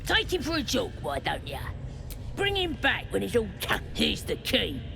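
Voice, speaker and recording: A put-on character voice at a moderate pace amid loud background noise. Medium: video game. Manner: rough, slangy.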